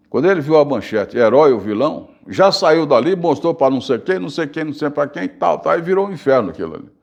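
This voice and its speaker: A man with a fairly high pitch and vocal fry speaks at a fairly quick pace with lively intonation and hardly any pauses. The background is quiet. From Bahia, Brazil. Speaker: journalist and radio broadcaster. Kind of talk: interview answer. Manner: casual storytelling.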